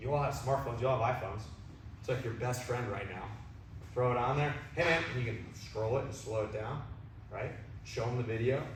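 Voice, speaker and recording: Speaking with an American accent at a fairly quick pace, a man of medium pitch leaves long, frequent pauses amid noticeable background noise and audible room echo. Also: ordinary pitch variation. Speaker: baseball hitting coach. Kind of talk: coaching clinic talk. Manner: loud; energetic.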